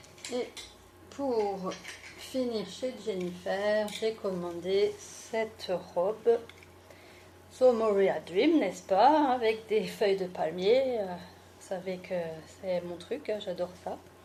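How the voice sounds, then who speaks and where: A woman with an Alsatian accent at medium pitch, very slow pace, long, frequent pauses and ordinary pitch variation. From France, Alsace (Mulhouse). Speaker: beauty and fashion YouTuber. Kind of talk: fashion haul video. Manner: casual, chatty.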